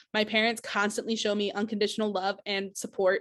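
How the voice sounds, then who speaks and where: This woman speaks at a fairly quick pace and a medium pitch. Her intonation stays monotone and flat. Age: 20s. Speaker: teacher and mental health advocate. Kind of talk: personal video application, testimony.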